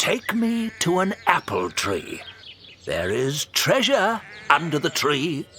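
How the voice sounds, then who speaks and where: A man puts on a character voice, pitched high. He speaks at a fairly slow pace. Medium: audio drama. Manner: grave, authoritative.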